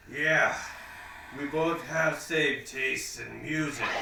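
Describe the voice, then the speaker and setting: In a put-on character voice, a man speaks fairly high and fairly slowly, with a slight echo and clear background noise. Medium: comedy sketch. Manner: halting, broken grammar.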